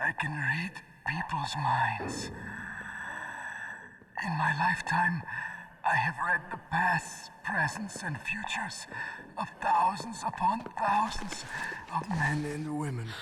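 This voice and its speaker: In a put-on character voice pitched high, a man talks at a fairly slow pace with long, frequent pauses over clear background noise. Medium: video game. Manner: grandiose, brooding.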